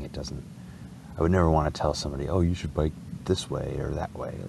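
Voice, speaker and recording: Amid noticeable background noise and audible room echo, a man with an American accent talks at a very fast pace. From Wisconsin. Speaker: bike traveler vlogger. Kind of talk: casual vlog monologue. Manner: halting, many repetitions.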